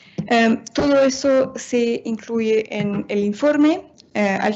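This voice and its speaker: Noticeable background noise sits under a woman speaking very slowly, her fairly high pitch showing ordinary variation. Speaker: international organization policy analyst. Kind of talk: seminar presentation. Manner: halting, many fillers.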